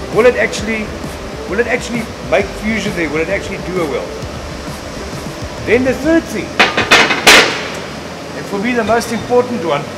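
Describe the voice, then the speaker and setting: A man at a moderate pace with ordinary pitch variation, music playing in the background. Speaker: welding instructor. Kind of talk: demonstration explanation. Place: workshop.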